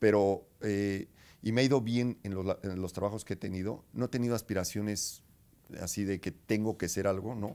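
Fairly low in pitch with a dark, mellow tone, a man talks at a moderate pace with fairly even intonation. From Mexico, State of Mexico (Zinacantepec, near Toluca); State of Mexico. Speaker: finance executive; interviewee. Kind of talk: interview. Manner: halting, many fillers. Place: office.

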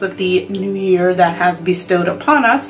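Over clear background music, a woman talks at a fairly slow pace. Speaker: beauty vlogger. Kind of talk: casual unboxing vlog chat. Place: home room. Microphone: phone near.

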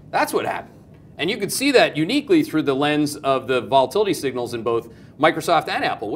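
A man at a very fast pace, very wide pitch swings throughout, with light background noise behind him. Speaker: market commentator. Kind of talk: commentary. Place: studio. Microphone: lapel.

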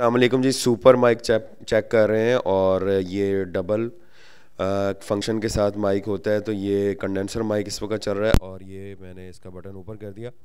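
Fairly slow and fairly low-pitched, a man talks in a monotone, flat intonation. His volume swings a lot. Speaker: microphone seller. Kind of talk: product demo.

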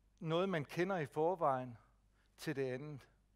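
A man's very slow delivery with ordinary pitch variation, set against a quiet background. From Jutland, Denmark; Denmark. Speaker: speech technology advisor; presenter. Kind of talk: lecture. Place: hall.

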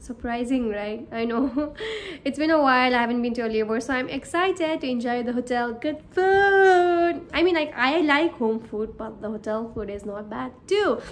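With lively intonation, a woman speaks at a moderate speed. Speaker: cabin crew vlogger. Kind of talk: casual vlog chat. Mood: excited, cheerful. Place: home room. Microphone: phone near.

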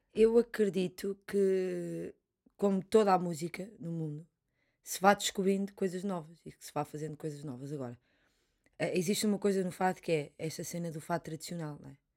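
Against a quiet background, a woman with a fairly low, dark, mellow voice speaks at a moderate pace with ordinary pitch variation and big swings in loudness. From Portugal. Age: 20s. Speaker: fado singer; interviewee. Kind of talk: interview conversation. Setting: studio. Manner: halting, many repetitions. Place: studio. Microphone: studio mic.

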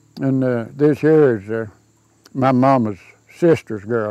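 Speaking at a fairly slow pace with a Southern Appalachian accent, a man has a medium pitch, ordinary pitch variation and a dark, mellow tone, in dry sound with no echo and a quiet background. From Southern Appalachia, North Carolina/Georgia mountains. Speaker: local elder sharing family history. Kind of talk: casual interview, reminiscing over old photos. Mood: warm, nostalgic. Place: garden. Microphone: lapel.

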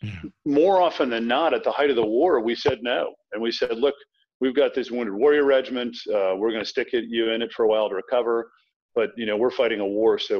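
A man with an American accent at a very fast pace against a quiet background. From US South, Tidewater Virginia (Norfolk); Virginia. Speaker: thriller author, former military officer. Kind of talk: interview. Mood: earnest, reflective. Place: home room. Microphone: video call.

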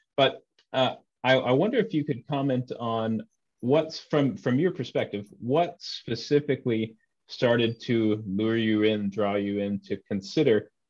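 Against a quiet background, a man talks fairly slowly with ordinary pitch variation. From Texas. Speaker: interviewer, former Anglican priest. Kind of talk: interview. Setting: video call. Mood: thoughtful, friendly. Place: home room. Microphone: video call.

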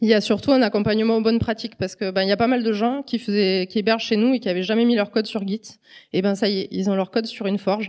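A woman's very fast speech at a medium pitch, fairly even in intonation, over a quiet background. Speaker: statistical engineer, conference speaker; conference speaker. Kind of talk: conference talk. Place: hall. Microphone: handheld.

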